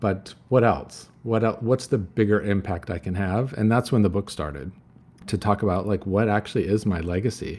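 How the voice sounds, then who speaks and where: A man talks in a plain, everyday voice, fairly low, at a moderate pace with ordinary pitch variation, on a very clean recording with a silent background. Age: 50s. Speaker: retail executive and author. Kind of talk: interview.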